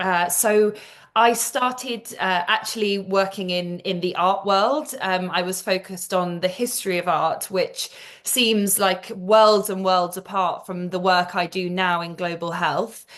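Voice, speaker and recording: A woman with a British accent speaks at a medium pitch and a fairly slow pace. Her intonation stays fairly even. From England. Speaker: global health executive. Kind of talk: interview. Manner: halting, many fillers and repeated words.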